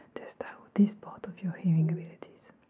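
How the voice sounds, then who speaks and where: Soft-spoken and gentle in tone, a woman talks at a fairly quick pace. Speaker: ASMR or hearing-test creator. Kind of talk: soft-spoken direct-to-camera instructions. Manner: soft, gentle ASMR speaking voice. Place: home room.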